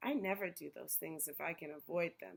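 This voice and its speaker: A woman puts on a raspy character voice, fairly low in pitch. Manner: sour.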